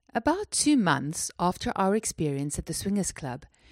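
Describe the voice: Reading aloud, plain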